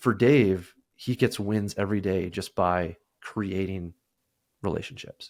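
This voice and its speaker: Someone with a slight Canadian accent speaks at a fairly slow pace on a very clean recording with a silent background. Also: man, fairly low pitch for a man, ordinary pitch variation. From Canada. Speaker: sales software representative. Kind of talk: casual interview.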